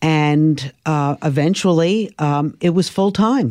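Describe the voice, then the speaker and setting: A fairly low-pitched woman with an American accent and lively intonation. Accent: Brooklyn New York, slightly cleaned up. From Brooklyn, New York. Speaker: morning TV show co-host. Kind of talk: casual interview chat.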